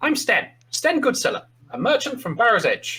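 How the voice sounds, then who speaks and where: A put-on character voice rings out high and shrill. It moves at a moderate pace. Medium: actual play.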